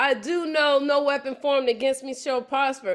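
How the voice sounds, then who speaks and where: The background is quiet. A woman talks with a high pitch. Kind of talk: sermon-like testimony. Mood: emotional, fervent. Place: kitchen. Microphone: video call.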